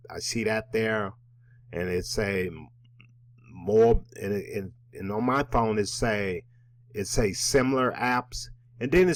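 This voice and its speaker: A very slow man's voice, fairly low in pitch, with ordinary pitch variation. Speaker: network marketing presenter. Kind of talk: tutorial.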